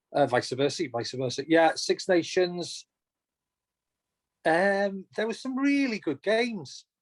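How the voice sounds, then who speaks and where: A man with a Welsh accent speaks with lively intonation, recorded dry and close with no echo. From North Wales, Llŷn Peninsula. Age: 40s. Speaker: race director and former ultrarunner. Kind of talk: podcast interview.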